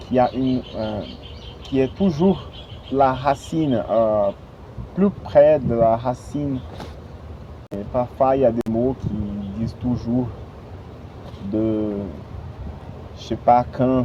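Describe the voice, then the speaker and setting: A man at medium pitch speaks at a very slow pace with ordinary pitch variation. There are long, frequent pauses and noticeable background noise. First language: Portuguese (speaking French). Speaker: language learner vlogger. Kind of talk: casual vlog. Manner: halting, many hesitations.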